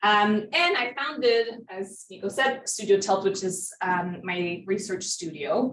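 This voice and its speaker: A woman with a French Canadian accent speaks at a medium pitch and a fairly slow pace, with ordinary pitch variation and hardly any pauses. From Quebec, Montreal. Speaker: professor. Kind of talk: lecture.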